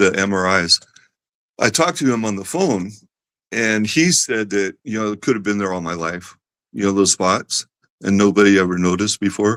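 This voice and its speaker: Recorded very cleanly against a silent background with a dry, close sound and no echo, a man with a fairly low pitch and an ordinary speaking voice talks at a moderate pace. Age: 60s. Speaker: person living with a rare disease. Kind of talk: casual interview.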